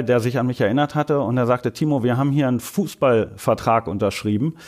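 A man races along at a very fast pace with ordinary pitch variation, captured in a very clean recording over a silent background. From Germany, rural. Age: 40s. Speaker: marketing manager. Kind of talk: casual chat. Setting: studio.

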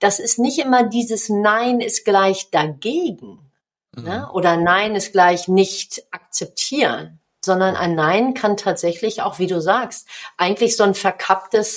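A woman speaks very slowly at a medium pitch, with ordinary pitch variation and big swings in loudness. The recording is very clean, with a silent background. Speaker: business coach and author, former handball player. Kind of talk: podcast interview.

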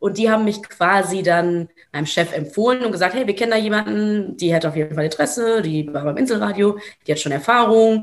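A woman's ordinary speaking voice, medium in pitch with ordinary pitch variation, at a fairly quick pace. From Germany, Ruhr area. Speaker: journalist. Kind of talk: casual interview.

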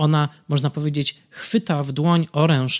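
In a dry, close recording with no echo, a man with a fairly high pitch talks at a moderate pace in a plain, everyday voice. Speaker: film critic podcaster. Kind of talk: solo film commentary.

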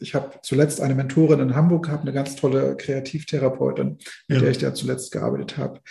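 Speaking at a fairly quick pace, a man with a fairly high pitch has a dark, mellow tone and vocal fry. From East Germany. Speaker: death doula and grief counselor. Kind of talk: podcast interview.

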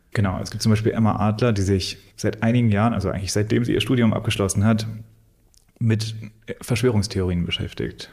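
A somewhat breathy man with a fairly low pitch speaks at a fairly quick pace in a monotone, flat intonation. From Thuringia, Germany (Weimar). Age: 30s. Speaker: gallery owner. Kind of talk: interview.

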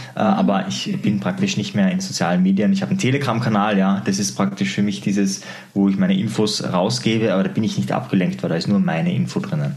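With an Austrian accent, a man talks at a fairly quick pace with very wide pitch swings, amid noticeable background noise and audible room echo. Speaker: psychologist and NLP trainer. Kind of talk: interview.

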